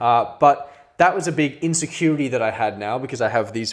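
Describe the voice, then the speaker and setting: In an Australian accent, a man speaks at a moderate pace with ordinary pitch variation. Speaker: podcast co-host. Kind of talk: casual chat.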